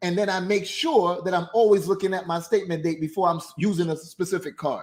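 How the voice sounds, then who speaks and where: A high-pitched man's animated voice at a fairly quick pace. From Jamaica. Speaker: business credit coach, livestream host. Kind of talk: livestream talk on credit management. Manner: fast.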